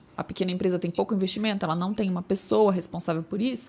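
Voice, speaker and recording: With ordinary pitch variation, the woman talks at a medium pitch. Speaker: information security specialist. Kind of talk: podcast panel discussion. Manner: fast, stumbling.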